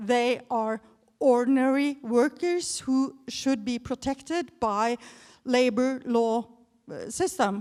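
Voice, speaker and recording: Against a silent background in a very clean recording, a woman talks very slowly. Her pitch is high and varies in an ordinary way. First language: not English. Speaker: audience member. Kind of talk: audience question. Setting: stage with audience. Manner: halting.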